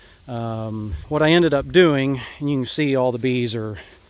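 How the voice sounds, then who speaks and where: The pitch varies in an ordinary way, and the sound is dry with no echo. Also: man. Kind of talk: casual vlog chat. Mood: relaxed, easygoing. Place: garden. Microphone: phone near.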